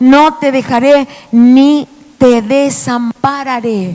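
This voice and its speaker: Animated in tone, a woman speaks at a high pitch. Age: 60s. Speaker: preacher. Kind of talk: sermon.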